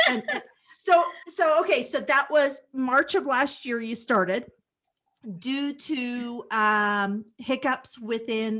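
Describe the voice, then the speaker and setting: A woman's high-pitched voice with a Midwestern US accent, lively intonation and a very slow pace. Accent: US Midwest. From Kansas. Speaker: podcast host, real estate agent. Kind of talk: podcast interview.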